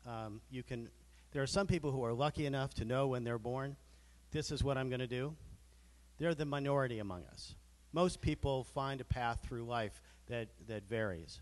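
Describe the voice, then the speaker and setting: Moderately paced, this is a normal speaking voice whose pitch varies in an ordinary way. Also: man, medium pitch for a man. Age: 60s. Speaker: lawyer and business leader, panelist. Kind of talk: panel discussion.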